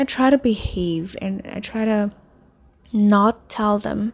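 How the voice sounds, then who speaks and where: Fairly even intonation in a Vietnamese accent. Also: woman. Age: 20s. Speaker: podcaster, English instructor. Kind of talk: personal monologue. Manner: halting.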